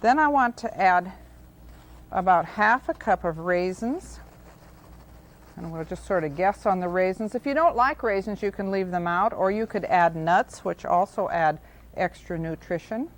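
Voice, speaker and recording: Lively intonation from a woman with an ordinary speaking voice, medium pitch and a moderate pace. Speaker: cooking show host. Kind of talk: TV cooking demonstration. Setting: studio. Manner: friendly, calm, instructional.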